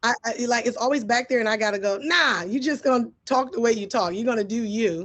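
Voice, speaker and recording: At a fairly quick pace, a woman with an American accent speaks in a fairly high, animated voice with ordinary pitch variation. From US Midwest, Detroit. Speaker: advertising executive. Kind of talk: interview.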